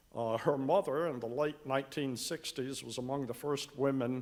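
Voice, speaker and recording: A man in a Carolinas accent talks at a moderate pace with fairly even intonation. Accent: Southern US (Carolinas). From US South, Western Carolinas. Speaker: church member. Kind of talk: testimony. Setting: church.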